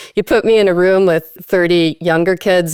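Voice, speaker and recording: With a Minnesota accent, a woman speaks at a moderate pace in a fairly low pitch and fairly even intonation, her dry, close sound free of echo on a very clean recording with a silent background. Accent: Minnesotan. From Minnesota, US. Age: 50s. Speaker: parenting trainer and adoptive parent. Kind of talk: podcast interview. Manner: hesitant, many fillers.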